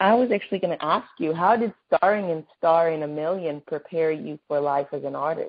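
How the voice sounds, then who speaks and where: A woman with a normal speaking voice talks at a fairly quick pace, her fairly low pitch showing ordinary variation. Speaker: entertainment news interviewer. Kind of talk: phone interview. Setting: phone call.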